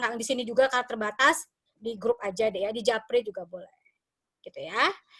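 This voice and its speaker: Here a woman talks at a fairly quick pace in a high pitch. Her tone is bright and sharp. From West Sumatra, Padang. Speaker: university lecturer. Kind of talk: online lecture. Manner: casual, friendly.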